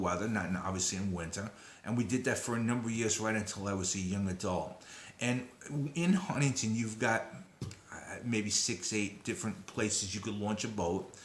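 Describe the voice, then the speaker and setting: There is audible room echo as a man talks at a moderate pace. His pitch is fairly low, with ordinary pitch variation. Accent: Brooklyn. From Brooklyn, New York, then Long Island. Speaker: descendant of a disaster figure, sharing memories. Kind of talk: personal testimony. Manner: hesitant, many fillers.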